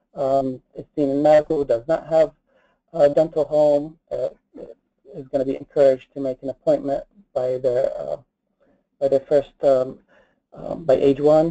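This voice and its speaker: A man speaks at a moderate pace with long, frequent pauses, his dark, mellow tone kept monotone and flat in a dry, close sound with no echo. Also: fairly high pitch for a man. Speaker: dentist presenter. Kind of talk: webinar presentation. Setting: webinar. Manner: hesitant, many fillers.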